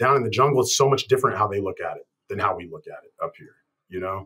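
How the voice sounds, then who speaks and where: Fairly quick talk from a man in an American accent. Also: quiet background. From Colorado, US Southwest. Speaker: chiropractor. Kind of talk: interview. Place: office. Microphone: webcam.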